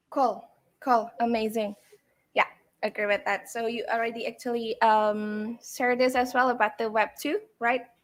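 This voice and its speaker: At a moderate pace, a woman with a non-native accent speaks in a fairly high pitch with fairly even intonation, on a very clean recording with a silent background. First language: not English. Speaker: AMA host. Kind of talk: live AMA interview. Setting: live stream.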